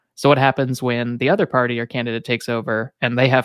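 On a very clean recording with a silent background and a dry, close sound with no echo, a man uses a normal speaking voice at a medium pitch with fairly even intonation. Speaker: podcast host. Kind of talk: casual interview.

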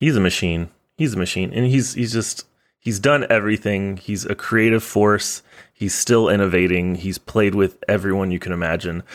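With an American accent, a man talks at a moderate pace in a plain, everyday voice, fairly low in pitch with ordinary pitch variation. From Texas. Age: 30s. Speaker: podcast host, trombonist. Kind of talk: read-out sponsor and show plugs; casual podcast chat.

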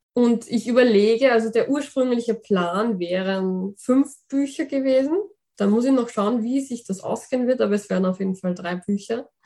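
A woman with a fairly high, dark and mellow voice talks at a moderate pace with ordinary pitch variation. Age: 20s. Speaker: fantasy author. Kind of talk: interview.

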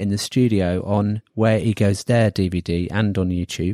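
In a southern English accent, a man with a fairly low pitch and a dark, mellow tone is heard in a dry, close sound with no echo, in a very clean recording with a silent background. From southern England. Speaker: podcast host. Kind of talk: casual chat.

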